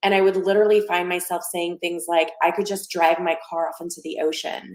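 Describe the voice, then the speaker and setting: At a fairly quick pace, a woman talks in a fairly low, monotone, flat voice. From immigrant, lived in three countries by age six. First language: not English (English is her third language). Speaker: wellness coach. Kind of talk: podcast interview. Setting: live video podcast.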